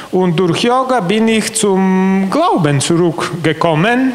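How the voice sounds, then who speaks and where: A man's high pitch and lively intonation with a non-native accent. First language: not German (speaking German). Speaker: convert giving testimony; bishop giving testimony. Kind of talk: interview testimony. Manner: halting, many hesitations. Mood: calm, earnest. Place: hall. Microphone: handheld.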